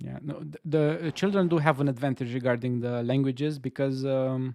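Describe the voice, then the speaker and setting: Fairly quick speech with an Eastern European accent, fairly even intonation and big swings in loudness. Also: man, medium pitch for a man. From Romania. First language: Romanian. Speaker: game dev streamer. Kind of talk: casual chat. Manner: halting.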